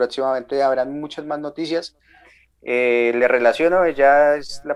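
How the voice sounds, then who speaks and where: Fairly slow and fairly even in intonation, a man speaks at medium pitch. He has an unremarkable speaking voice. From Colombia, Ibagué (Tolima). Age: 20s. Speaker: sound engineer and tour manager. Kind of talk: casual interview.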